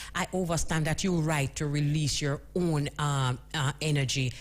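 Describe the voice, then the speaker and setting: This woman's voice has a very deep, low pitch and is somewhat breathy, moving at a moderate pace. The recording is very clean, with a silent background. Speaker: radio host. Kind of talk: radio interview, host questions.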